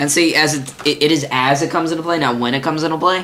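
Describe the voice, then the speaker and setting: Fairly even in intonation, a man talks at a fairly quick pace. Audible room echo surrounds his voice. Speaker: podcast host, card game fan. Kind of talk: casual chat. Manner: halting.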